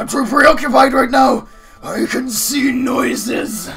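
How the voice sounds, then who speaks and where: A man's put-on character voice at an extremely high pitch, fairly slow in pace, over faint music in the background. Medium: audio drama. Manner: shouting, manic; laughing, cracking up.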